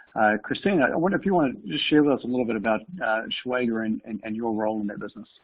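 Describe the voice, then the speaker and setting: Speaking very fast, a man with a New Zealand accent uses lively intonation. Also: medium pitch for a man. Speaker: company co-founder and CEO. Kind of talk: webinar panel discussion.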